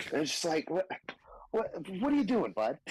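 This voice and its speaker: Ordinary pitch variation marks this speech, delivered with an American accent. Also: man. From North Texas. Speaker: stand-up comedian. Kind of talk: casual chat. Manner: animated.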